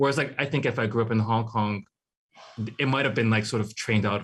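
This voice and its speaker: A man with a Hawaiian accent, medium pitch and fairly even intonation against a quiet background. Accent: Hawaii English. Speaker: artist. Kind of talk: interview.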